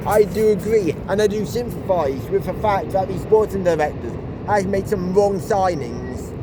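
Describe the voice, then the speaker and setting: A moderate pace against noticeable background noise. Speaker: football fan vlogger. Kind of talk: casual vlog commentary. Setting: outdoors, walking. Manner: stuttering, halting.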